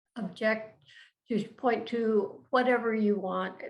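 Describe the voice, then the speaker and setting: A woman at a very slow pace, fairly high in pitch, with ordinary pitch variation. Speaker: design educator and nonprofit founder. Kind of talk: educational talk.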